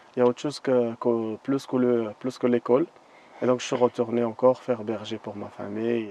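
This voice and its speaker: Speaking at a moderate pace in a flat monotone, a man with a medium-pitched voice is recorded with a dry, close sound, no echo, and noticeable background noise. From Moroccan desert. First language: not French; learned French as a guide (speaking French). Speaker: desert guide. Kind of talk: interview. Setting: outdoors in the desert. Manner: halting, with many hesitations.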